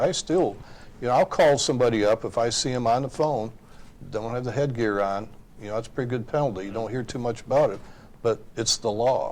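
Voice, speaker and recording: In an unremarkable speaking voice, a man of medium pitch talks at a fairly quick pace with ordinary pitch variation. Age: 60s. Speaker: trucking industry representative. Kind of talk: panel discussion.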